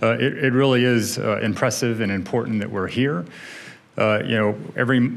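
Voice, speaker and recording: Fairly quick male speech with ordinary rises and falls in pitch. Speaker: army general. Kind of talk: opening remarks. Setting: stage with audience. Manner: halting. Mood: earnest, serious. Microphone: podium.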